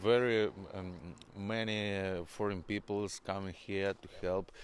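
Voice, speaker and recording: In a Ukrainian accent, a man speaks at a very slow pace and a fairly low pitch with monotone, flat intonation, captured on a very clean recording with a silent background. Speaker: musician. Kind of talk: interview. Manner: halting, many hesitations.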